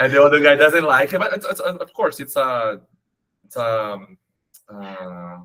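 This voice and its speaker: A man with a Portuguese accent speaks at a fairly slow pace and a fairly high pitch, with a bright, sharp tone, very wide pitch swings and big swings in loudness. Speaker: English learner. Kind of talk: conversational English lesson. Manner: halting.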